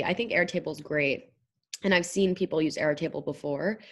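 An unremarkable speaking voice from a woman, fairly low in pitch, at a fairly quick pace with ordinary pitch variation over a quiet background. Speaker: venture fund marketing and operations lead. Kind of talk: casual interview.

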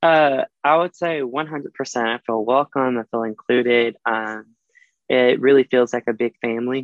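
A man speaks with a Southern US accent at a medium pitch. His pace is fairly slow and his intonation fairly even. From US South (Alabama). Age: 20s. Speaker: dental student. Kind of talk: casual chat. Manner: confident public speaker.

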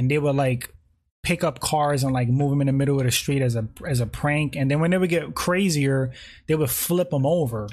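A man's fairly high, somewhat breathy voice with ordinary pitch variation and a slight New York accent. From New York (the Bronx). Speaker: live streamer. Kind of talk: live stream chat about MMA. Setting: home, late-night livestream. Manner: casual, chatty, filler-heavy.

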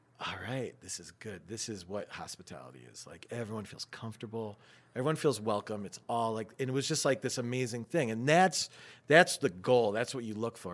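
A man's medium-pitched voice in an American accent, fairly quick, with ordinary pitch variation, big swings in loudness and a very clean recording over a silent background. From Syracuse, New York. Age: 40s. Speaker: restaurant owner. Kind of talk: casual chat.

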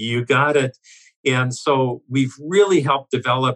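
In a normal speaking voice, a man speaks at a fairly slow pace, the sound dry and close with no echo. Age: 60s. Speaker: business owner. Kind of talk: interview.

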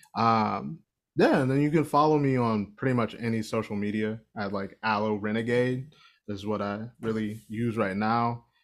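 Recorded very cleanly against a silent background, a man with an American accent and an unremarkable speaking voice talks at a moderate pace with medium pitch and ordinary pitch variation. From Ohio. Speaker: musician and performer. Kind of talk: casual chat.

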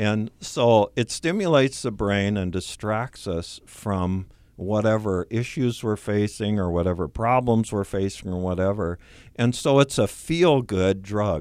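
A man with an ordinary speaking voice talks fairly slowly at a fairly low pitch with ordinary pitch variation, on a very clean recording with a silent background. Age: 60s. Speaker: support group leader. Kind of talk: radio interview.

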